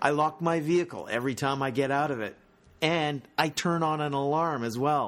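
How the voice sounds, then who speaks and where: With a Canadian accent, a man talks at a moderate pace in an unremarkable speaking voice. His pitch is fairly high with ordinary variation, on a very clean recording with a silent background. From Squamish, British Columbia, Canada. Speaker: local resident essayist. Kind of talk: scripted narration.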